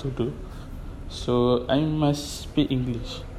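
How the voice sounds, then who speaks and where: A man with a Malaysian accent and a medium pitch, amid noticeable background noise. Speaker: photographer and club DJ. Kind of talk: personal monologue podcast. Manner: halting.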